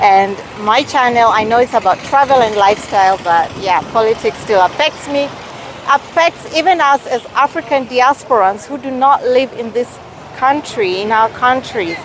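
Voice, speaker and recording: Amid noticeable background noise, a woman speaks in a high voice with lively intonation. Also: moderate pace. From Kenyan heritage, raised partly abroad. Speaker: travel and lifestyle vlogger. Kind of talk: casual vlog to camera. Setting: outdoors in a city street. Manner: hesitant, with fillers.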